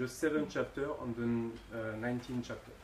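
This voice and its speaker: Delivery proceeds fairly slowly. The voice carries a French accent. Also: man. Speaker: audience member. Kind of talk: audience Q&A question. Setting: stage with audience. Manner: halting.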